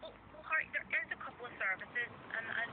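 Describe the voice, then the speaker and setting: Over noticeable background noise, a man talks at a fairly quick pace with an extremely high pitch. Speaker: helpline support worker. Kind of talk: phone conversation. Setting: phone call. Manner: fast.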